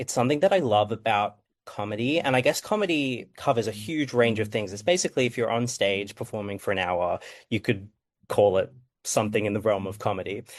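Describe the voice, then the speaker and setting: A man with an Australian accent and a medium pitch speaks at a fairly quick pace with ordinary pitch variation against a quiet background. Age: 20s. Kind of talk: panel discussion. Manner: hesitant, many fillers.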